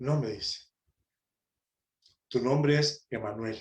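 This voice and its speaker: Somewhat breathy and medium in pitch, a man speaks at a very slow pace with ordinary pitch variation. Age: 60s. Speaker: preacher, prison ministry volunteer. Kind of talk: sermon. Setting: conference talk.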